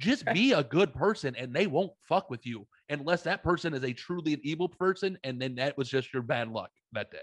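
Using a normal speaking voice, a man talks at a fairly quick pace with lively intonation and a fairly high pitch. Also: dry, close sound with no echo. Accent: American. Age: 30s. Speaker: podcast host. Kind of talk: casual chat.

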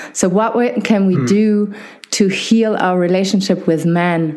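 Noticeable background noise is present. The speaker goes at a fairly slow pace. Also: woman. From Germany. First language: German. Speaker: podcast host and physiotherapist. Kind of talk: casual interview conversation. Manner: hesitant, many fillers.

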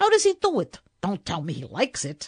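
A woman speaks in a put-on character voice. Her pace is fairly quick. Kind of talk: comic storytelling. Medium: read story. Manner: slangy, breezy.

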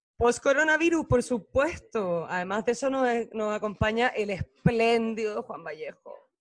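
A man with a Chilean accent at an extremely high pitch, animated in tone with lively intonation, big swings in loudness and a fairly slow pace. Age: 30s. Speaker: podcast host. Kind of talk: casual chat.

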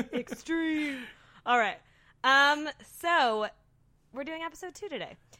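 A woman speaks in a high, bright, sharp voice, raised and projected, with ordinary pitch variation. Her pace is fairly slow, broken by long, frequent pauses. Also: big swings in loudness. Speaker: podcast host. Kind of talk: casual chat.

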